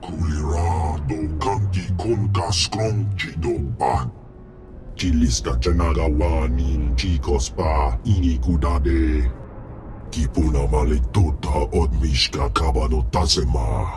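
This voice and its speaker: Through clear background noise, a man performs a put-on character voice. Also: fairly slow pace. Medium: video game.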